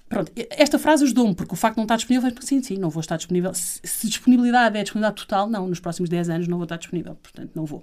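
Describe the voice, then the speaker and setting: A woman at a very fast pace with hardly any pauses, lively intonation and medium pitch. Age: 40s. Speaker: professional organizing consultant. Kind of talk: interview conversation.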